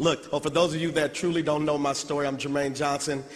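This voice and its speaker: With noticeable background noise behind him, a man talks at a fairly high pitch in a flat monotone. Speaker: motivational speaker. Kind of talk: motivational speech.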